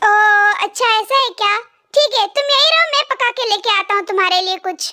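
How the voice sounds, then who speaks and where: In a put-on, squeaky character voice, a woman talks at an extremely high pitch and fairly quick pace with ordinary pitch variation. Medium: read story. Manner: firm, authoritative.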